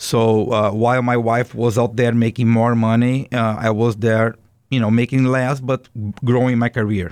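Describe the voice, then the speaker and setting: In a very clean recording with a silent background, a man of medium pitch speaks at a moderate pace with a Brazilian accent and monotone, flat intonation. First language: Portuguese. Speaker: business owner. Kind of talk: interview.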